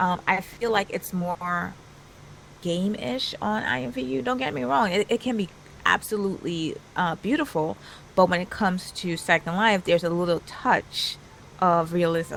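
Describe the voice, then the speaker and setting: Soft-spoken and with a Trinidadian accent, this woman has a fairly low voice, lively intonation, and a moderate pace. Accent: Caribbean (Trinidadian). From Trinidad and Tobago. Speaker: virtual world influencer. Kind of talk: casual interview chat.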